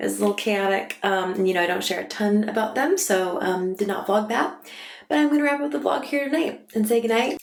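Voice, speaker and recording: A woman at medium pitch speaks with lively intonation. Room echo can be heard in the recording. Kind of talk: casual vlog talk. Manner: chatty with fillers.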